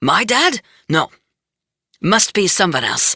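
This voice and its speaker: In a put-on character voice, the speaker sounds raspy and fairly high-pitched while talking at a fairly slow pace. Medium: read story. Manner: folksy, affectionate, evasive.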